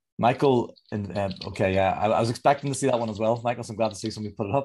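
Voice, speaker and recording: Talking at a very fast pace, a man with a Northern Irish accent uses a medium pitch and ordinary pitch variation. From Northern Ireland. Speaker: leadership coach. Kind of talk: online presentation. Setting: video call. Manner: sing-song.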